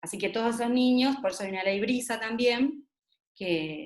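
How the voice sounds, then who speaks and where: A woman speaks with a fairly high pitch. Her pitch varies in an ordinary way. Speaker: gender violence expert speaker. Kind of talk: talk-debate presentation. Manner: fast.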